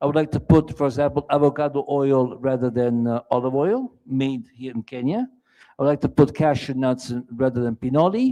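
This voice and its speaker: Fairly high-pitched male voice with an Italian accent, a dark, mellow tone and a moderate pace, dry and close with no echo. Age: 60s. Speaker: entrepreneur. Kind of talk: on-stage pitch interview. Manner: halting.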